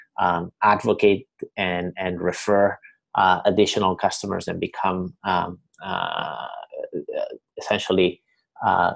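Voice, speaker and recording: Speaking with a slight Spanish accent, a man uses a fairly low pitch with ordinary pitch variation. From Spain, Barcelona. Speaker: company co-founder. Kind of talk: webinar presentation. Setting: online webinar. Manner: halting, many fillers and repetitions.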